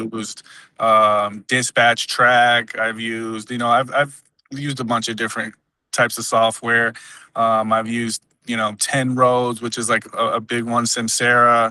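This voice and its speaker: Over a quiet background, a man speaks at medium pitch and a moderate pace with a bright, sharp tone and monotone, flat intonation. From Dominican Republic until six, then raised in US. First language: Spanish. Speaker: job candidate, logistics professional. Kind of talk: job interview. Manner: halting, many fillers and restarts.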